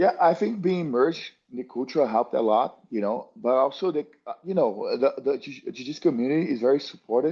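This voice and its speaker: A man with a fairly high pitch and a dark, mellow tone talks with a Brazilian accent, lively intonation and hardly any pauses. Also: fairly quick pace, quiet background. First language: Portuguese. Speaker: jiu-jitsu athlete. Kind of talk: interview. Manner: halting, many fillers and restarts.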